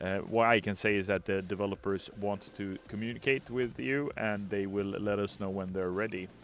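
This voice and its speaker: A man with a fairly low pitch talks at a moderate pace with hardly any pauses. His intonation stays fairly even. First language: not English. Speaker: game community manager streaming gameplay. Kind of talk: casual livestream chat answering viewer questions. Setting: livestream with green screen.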